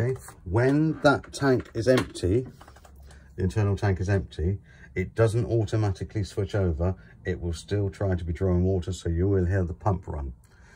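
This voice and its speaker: Noticeable background noise behind a man's very deep, low voice. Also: lively intonation, moderate pace. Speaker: caravan dealer presenter. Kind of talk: product walkthrough tutorial. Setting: inside a caravan.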